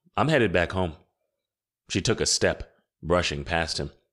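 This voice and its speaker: On a very clean recording with a silent background, a man with a very deep, low pitch speaks at a moderate pace. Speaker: audiobook narrator. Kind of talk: audiobook narration.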